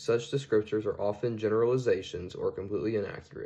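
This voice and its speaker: A man talks at a fairly quick pace. He has a Southern accent. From US South (Georgia/Alabama). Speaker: student. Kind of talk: class presentation. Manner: formal.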